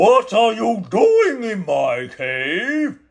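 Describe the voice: A man puts on a character voice pitched high.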